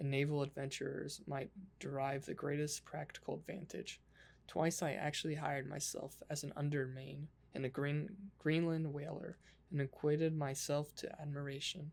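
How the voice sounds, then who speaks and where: A soft-spoken voice. It moves at a moderate pace. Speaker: ASMR creator. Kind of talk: ASMR book reading.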